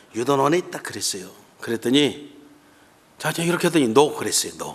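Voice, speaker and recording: A man's fairly high voice at a fairly quick pace with lively intonation. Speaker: guest pastor. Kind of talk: sermon. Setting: church.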